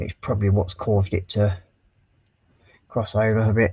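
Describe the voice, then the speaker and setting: Mumbling at a fairly quick pace, a man speaks in a somewhat breathy, fairly low voice with monotone, flat intonation. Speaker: scale model livestreamer. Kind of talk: casual livestream build commentary.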